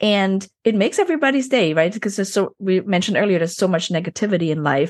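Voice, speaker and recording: Over a quiet background, a woman talks at a very fast pace with a medium pitch. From Germany, Chinese family. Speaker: podcast host. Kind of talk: interview.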